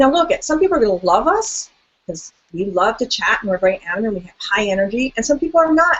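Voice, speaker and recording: Talking very fast, a woman with a fairly high pitch swings widely in both pitch and loudness. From South America. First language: Spanish. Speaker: talk show host. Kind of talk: interview conversation. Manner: animated.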